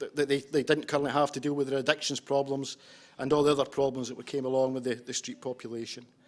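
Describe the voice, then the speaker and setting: Delivered at a very fast pace in a strong Scottish accent, the speech has monotone, flat intonation. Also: man, fairly high pitch for a man. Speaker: homeless services practitioner. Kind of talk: conference presentation. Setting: conference with interpreters. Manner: hesitant, with fillers and repetitions.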